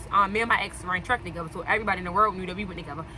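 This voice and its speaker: Against noticeable background noise, a woman talks at a very fast pace with ordinary pitch variation. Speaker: storytelling vlogger. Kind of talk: casual storytime. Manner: animated.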